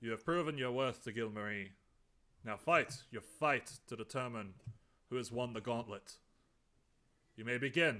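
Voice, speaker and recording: Putting on a booming character voice, a man speaks at a medium pitch and a moderate pace, with ordinary pitch variation and long, frequent pauses. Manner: commanding.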